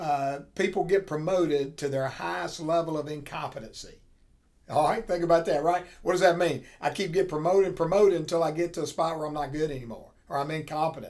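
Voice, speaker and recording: A man with a fairly high pitch and fairly even intonation, going at a very fast pace. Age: 60s. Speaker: accounting professor. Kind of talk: lecture. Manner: casual, conversational.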